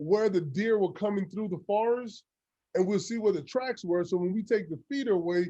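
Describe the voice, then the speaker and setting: A man's dark, mellow, high-pitched voice with a Louisiana accent and ordinary pitch variation, set against a quiet background. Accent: Southern US (Louisiana). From Louisiana, US South. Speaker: football coach. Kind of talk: coaching clinic talk.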